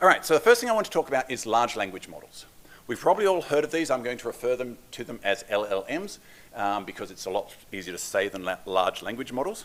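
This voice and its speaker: Speaking at a very fast pace with an Australian accent, a medium-pitched man makes very wide pitch swings and big swings in loudness. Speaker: developer advocate. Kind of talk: conference talk. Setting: stage with audience. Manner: fast when excited; casual, self-deprecating.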